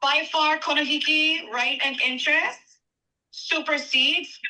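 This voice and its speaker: Her tone is bright and sharp. The woman's voice is raised and projected. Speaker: public commenter. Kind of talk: public testimony. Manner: slow.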